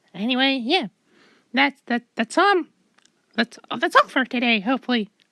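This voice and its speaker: A cartoonish character voice moves along at a fairly quick pace, the sound dry and close with no echo. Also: woman. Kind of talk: comic overacting. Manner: stammering, rambling, overeager.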